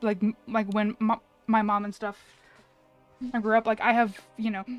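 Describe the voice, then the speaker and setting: A woman speaks with music playing in the background. The sound is dry and close, with no echo. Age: 30s. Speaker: gaming streamer. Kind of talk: casual chat. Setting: live stream. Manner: halting.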